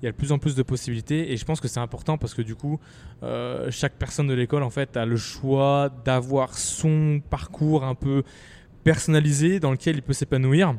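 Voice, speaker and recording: Recorded with a dry, close sound and no echo, a man speaks at a moderate pace and fairly high pitch, with a dark, mellow tone and fairly even intonation. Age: 20s. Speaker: podcast host and startup founder. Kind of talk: podcast interview. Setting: in a shop. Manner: hesitant, many fillers.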